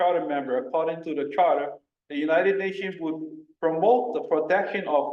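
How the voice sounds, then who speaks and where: A man's lively intonation amid audible room echo. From Hawaii. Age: 60s. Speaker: community member giving public testimony. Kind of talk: public testimony. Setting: public meeting. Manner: halting.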